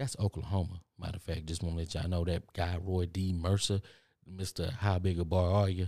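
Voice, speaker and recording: With a Texan accent, a man speaks in a very deep, low pitch and a dark, mellow tone, his intonation monotone and flat, on a very clean recording with a silent background. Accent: Texan Southern US drawl. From Texas. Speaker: podcast host. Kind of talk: motivational monologue. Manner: fast talker; casual, repetitive.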